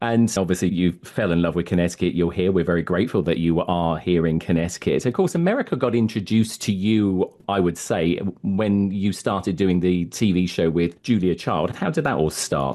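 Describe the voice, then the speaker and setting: A man with a very deep, low pitch and a dark, mellow tone, fairly quick with hardly any pauses, ordinary pitch variation and very even loudness, over a quiet background. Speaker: radio host. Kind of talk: interview.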